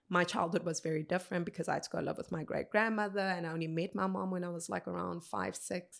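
Speaking at a very fast pace, a woman with a South African accent uses a medium pitch on a very clean recording with a silent background. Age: 30s. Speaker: motivational speaker. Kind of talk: interview conversation. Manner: animated.

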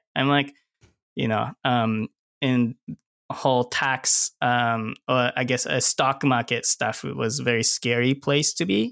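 At a very slow pace, a man with a Japanese accent speaks at medium pitch with fairly even intonation and very even loudness, in a very clean, dry, close recording with no echo and a silent background. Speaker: cinematographer. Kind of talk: casual interview chat.

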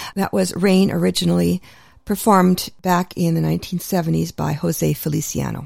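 A woman with a Canadian accent talks at a moderate pace. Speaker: radio host. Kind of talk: radio show hosting. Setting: radio studio.

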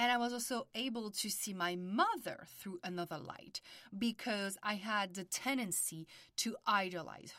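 At a moderate pace, a woman with a French accent speaks at medium pitch with ordinary pitch variation. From France. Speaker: podcast host and family constellations therapist. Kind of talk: podcast intro monologue.

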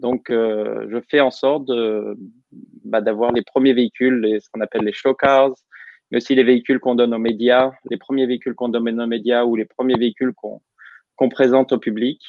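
A man of medium pitch talks in a monotone, flat intonation. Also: moderate pace. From Normandy, France. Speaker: automotive engineer. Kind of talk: interview. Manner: hesitant, many fillers.

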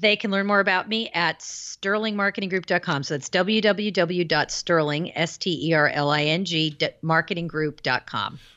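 The woman has an ordinary speaking voice, fairly low in pitch for a woman. She speaks at a fairly slow pace with ordinary pitch variation. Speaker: author and marketing consultant. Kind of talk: casual interview chat. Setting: phone call.

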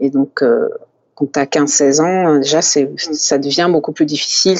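Fairly even intonation at a fairly slow pace. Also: woman. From France. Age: 30s. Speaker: sports therapist. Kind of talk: interview. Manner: halting, many repetitions and fillers.

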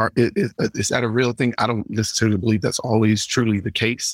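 In an Atlanta accent, a man with a medium pitch speaks at a fairly quick pace, the sound dry and close with no echo and the background silent on a very clean recording. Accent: Southern US (Atlanta) English. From US South, Atlanta. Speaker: comedian. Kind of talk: casual chat.

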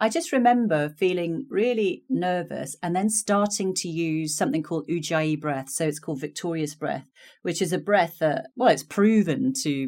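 Speaking at a moderate pace with an English accent, a woman with a fairly low pitch makes very wide pitch swings on a very clean recording with a silent background. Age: 50s. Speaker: career coach. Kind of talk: interview.

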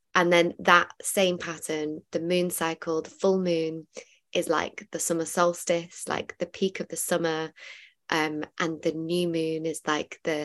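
Monotone, flat delivery at a fairly slow pace, in a dry, close sound with no echo. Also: woman. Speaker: meditation guide and musician. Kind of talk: casual chat. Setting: video call.

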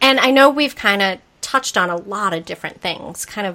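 A woman speaks with a Massachusetts accent in a bright, sharp tone. Her pace is moderate. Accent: Massachusetts accent, noticeable. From Massachusetts, US. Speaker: podcast host. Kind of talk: casual interview chat. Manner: upbeat, enthusiastic.

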